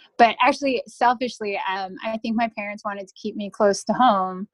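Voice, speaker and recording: A woman's unremarkable speaking voice at medium pitch, with an American accent, ordinary pitch variation and a moderate pace. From New Jersey. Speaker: Coast Guard officer. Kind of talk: interview.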